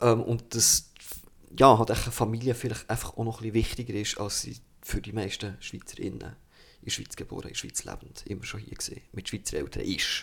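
A man speaks at a medium pitch. His voice has vocal fry. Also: fairly even intonation, big swings in loudness. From Bernese Oberland, Switzerland. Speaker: artist. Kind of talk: casual chat. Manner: halting, repeats words.

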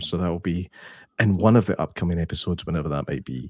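A man puts on a raspy character voice, very deep and low, speaking very fast on a very clean recording with a silent background. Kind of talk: radio voice.

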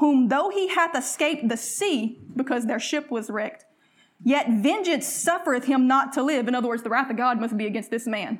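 Talking with a Southern US accent, a woman uses a high pitch and ordinary pitch variation. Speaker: preacher. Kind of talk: sermon. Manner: animated.

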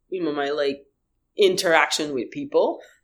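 A woman with a Haitian accent. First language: Haitian Creole. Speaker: musician. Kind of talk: interview. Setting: video call. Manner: halting.

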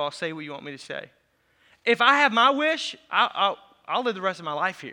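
With an American accent, a man speaks in a raised, projected voice at a fairly quick pace, bright and sharp in tone, animated, with lively intonation, on a very clean recording with a silent background. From US Midwest, Racine County, southern Wisconsin. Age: 40s. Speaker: pastor. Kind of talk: sermon. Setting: church. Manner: fast talker.

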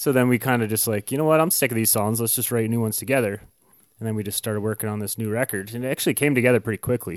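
With a Canadian accent, a man speaks very fast at a medium pitch with ordinary pitch variation. The recording is very clean, dry and close, with a silent background and no echo. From Canada. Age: 30s. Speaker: punk musician. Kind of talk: casual interview.

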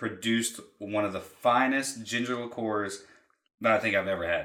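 Audible room echo surrounds a man with a bright, sharp tone. His pitch is fairly low and his pace moderate. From Tennessee (Cleveland, from age 12). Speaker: mixologist. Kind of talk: casual chat; tutorial.

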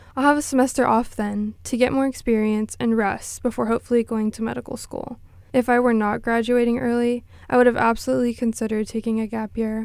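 Speaking at a very fast pace with monotone, flat intonation, a woman with an American accent uses a fairly high pitch. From Texas, Corpus Christi. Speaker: pre-med student and peer mentor.

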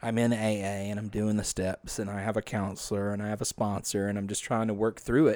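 In a very clean recording with a silent background, a man with a fairly low pitch and a dark, mellow tone speaks at a fairly quick pace in a monotone, flat intonation. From northwest Louisiana. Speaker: church staff member and podcast creator. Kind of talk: casual chat.

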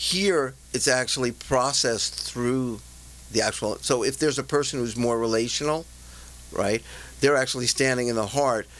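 Speaking at a medium pitch and moderate pace, a man shows ordinary pitch variation. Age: 60s. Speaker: executive coach and trainer. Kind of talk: interview.

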